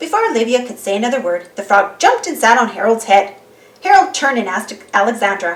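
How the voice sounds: This is a natural reading voice. It carries through the whole clip.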